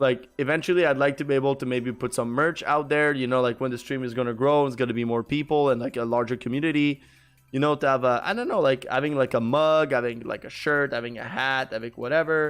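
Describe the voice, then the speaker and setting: A man with a Quebec accent at a very fast pace, hardly any pauses and fairly even intonation, over music in the background. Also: medium pitch for a man. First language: French. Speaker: gaming streamer. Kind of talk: casual live-stream chat. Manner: halting, many fillers and repeats.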